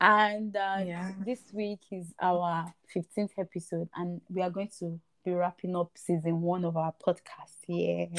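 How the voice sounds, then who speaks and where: The sound is dry and close, with no echo. The speaker talks at a fairly slow pace with monotone, flat intonation. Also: woman, fairly low pitch for a woman. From Nigeria. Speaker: podcast host. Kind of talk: casual chat. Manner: casual, chatty.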